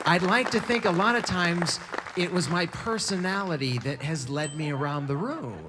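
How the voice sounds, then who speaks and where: Amid noticeable background noise and audible room echo, a man with a high pitch speaks at a fairly slow pace. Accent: American. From US West Coast. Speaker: bicycle traveler and writer. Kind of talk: storytelling talk. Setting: stage with audience. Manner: animated.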